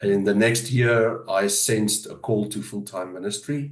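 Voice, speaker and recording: A man with a South African accent speaks at a fairly slow pace. Room echo is audible. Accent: South African Afrikaans. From South Africa, Johannesburg area. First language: Afrikaans. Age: 50s. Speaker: pastor. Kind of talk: interview. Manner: hesitant, many fillers.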